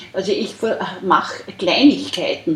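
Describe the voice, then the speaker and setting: A woman uses lively intonation at a fairly slow pace, with noticeable background noise present. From Austria. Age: 70s. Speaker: artist. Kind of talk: interview. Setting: artist's studio.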